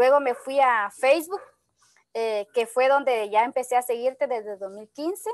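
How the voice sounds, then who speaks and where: At a fairly slow pace, a woman with a high voice speaks with ordinary pitch variation, the sound dry with no echo and the background quiet. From Guatemala. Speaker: network marketing entrepreneur; guest. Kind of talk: testimony. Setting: video call. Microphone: video call.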